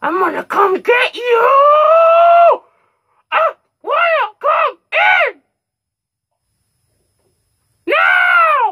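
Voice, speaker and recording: Someone shouts in a put-on character voice at an extremely high pitch. The delivery is very slow. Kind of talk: prank call banter. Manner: screaming.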